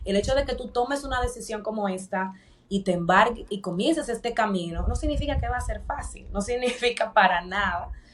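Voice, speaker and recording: Noticeable background noise sits behind a woman's fairly high-pitched voice. She moves along at a fairly quick pace with ordinary pitch variation. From Dominican Republic. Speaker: corporate professional turned coach. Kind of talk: interview.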